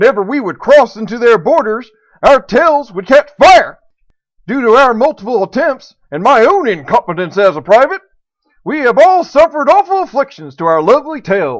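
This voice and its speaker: A man speaks at a moderate pace in a put-on character voice. His pitch is pushed extremely high. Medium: audio drama. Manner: groveling, apologetic.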